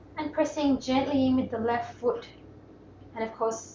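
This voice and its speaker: A high-pitched woman's voice with an Australian accent. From Melbourne, Australia. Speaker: yoga teacher. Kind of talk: guided yoga class instruction. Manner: calm, gentle.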